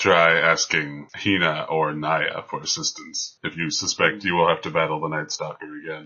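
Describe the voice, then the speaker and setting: A man in a put-on character voice, very deep and low, at a moderate pace with hardly any pauses. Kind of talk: formal, slightly archaic phrasing. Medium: actual play. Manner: calm, precise, dry.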